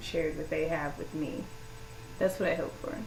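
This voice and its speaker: A woman's fairly low voice amid audible room echo and noticeable background noise. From US South, Louisiana. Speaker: vlogger. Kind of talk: personal vlog monologue. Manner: casual, hesitant with many fillers.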